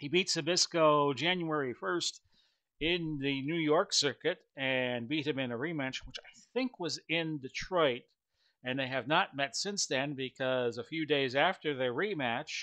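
A man talks at a fairly slow pace with a bright, sharp tone. His pitch varies in an ordinary way against a quiet background. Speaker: tabletop wrestling game host. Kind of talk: commentary. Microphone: headset.

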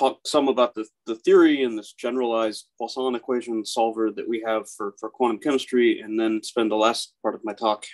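In a quiet background, a man speaks at a moderate pace with ordinary pitch variation. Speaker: speaker. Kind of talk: lecture. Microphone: video call.

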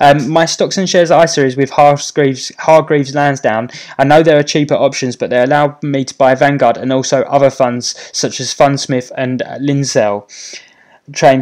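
Over a quiet background, a man with a British accent speaks at a moderate pace, fairly high in pitch, with fairly even intonation. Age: 30s. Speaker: YouTuber and property investor; YouTuber. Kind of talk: live stream Q&A. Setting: YouTube live stream. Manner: casual, with many fillers. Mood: friendly, relaxed. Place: home room.

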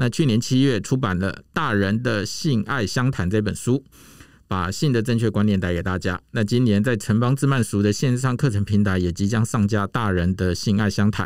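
An ordinary speaking voice at a moderate pace, with ordinary pitch variation and very even loudness, in a dry sound with no echo over a quiet background. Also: man, fairly low pitch for a man. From Taiwan. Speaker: podcast host. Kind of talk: scripted intro; casual interview. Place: booth. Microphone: studio mic.

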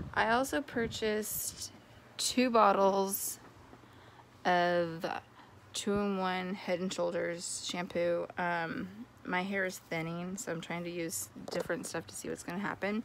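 Over light background noise, a woman speaks at a fairly slow pace with ordinary pitch variation, the sound dry with no echo. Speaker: vlogger. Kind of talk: casual vlog chat. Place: home room. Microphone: phone near.

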